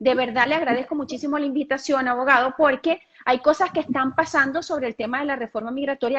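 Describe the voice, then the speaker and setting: At a very fast pace, a woman speaks at a high pitch with ordinary pitch variation. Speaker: immigration channel host. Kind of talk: live-stream interview.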